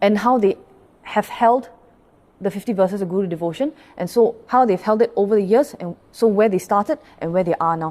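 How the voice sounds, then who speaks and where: The woman's voice sits at a medium pitch with a dark, mellow tone. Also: ordinary pitch variation, fairly quick pace. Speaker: Buddhist pastor. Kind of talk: dharma talk. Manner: fast.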